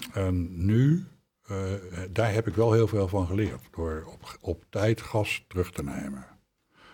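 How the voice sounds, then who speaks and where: A man speaks very slowly, with long, frequent pauses and big swings in loudness. His voice is fairly low, somewhat breathy and dark and mellow in tone, with lively intonation. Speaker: former politician. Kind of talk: interview. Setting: studio.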